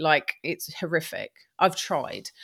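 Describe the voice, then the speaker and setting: Recorded very clean against a silent background, a woman speaks at a very slow pace. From England, Lewes, East Sussex. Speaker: upcycling business owner. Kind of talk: interview. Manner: animated.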